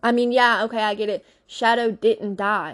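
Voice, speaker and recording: A woman speaks at a moderate pace in an animated tone, with a Louisiana accent. The background is quiet. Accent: Southern US (Louisiana). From Louisiana, US South. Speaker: podcast host. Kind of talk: casual chat. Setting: sitting in a closet.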